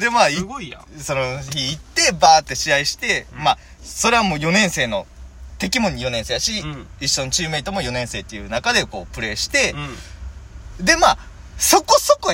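A man speaks in an animated tone at a moderate pace. He leaves long, frequent pauses. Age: 20s. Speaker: comedian. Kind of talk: casual chat.

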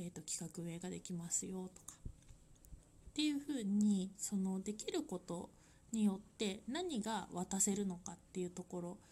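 Somewhat breathy and dark, mellow in tone, this voice keeps a moderate pace with ordinary pitch variation and big swings in loudness. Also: woman, medium pitch for a woman. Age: 30s. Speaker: life design consultant. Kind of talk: solo podcast monologue. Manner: halting, with many fillers.

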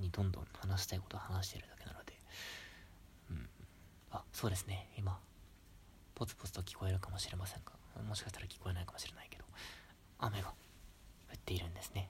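Whispered at a very fast pace, the speech is broken by long, frequent pauses. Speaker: solo podcaster, university student. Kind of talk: casual solo monologue. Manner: halting with many fillers.

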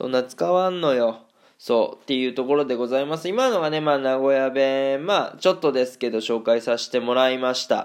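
Ordinary pitch variation at a fairly quick pace. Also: man, medium pitch for a man. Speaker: footballer living in Germany, solo radio streamer. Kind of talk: solo talk monologue. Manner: casual, chatty, rambling.

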